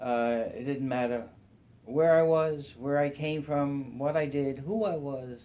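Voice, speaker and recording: A man talks in a New York accent with a dark, mellow tone. His intonation is fairly even, and room echo is audible. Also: fairly high pitch for a man, fairly slow pace. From Brooklyn, New York. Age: 70s. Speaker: church member. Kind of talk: testimony. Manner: halting.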